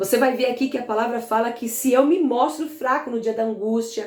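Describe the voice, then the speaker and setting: The pace is fairly quick. Room echo is audible, with music playing in the background. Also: woman. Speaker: pastor. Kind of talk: bible teaching. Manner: fast.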